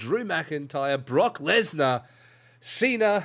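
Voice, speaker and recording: A man is speaking. He has an Australian accent. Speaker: podcast host and pro wrestler. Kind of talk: casual chat.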